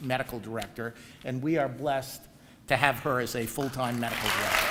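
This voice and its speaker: Amid crowd noise in the background, a man speaks at a fairly quick pace in a medium pitch with fairly even intonation. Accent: New York. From New York area. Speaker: professor and program director. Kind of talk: ceremony speech. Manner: hesitant with frequent fillers.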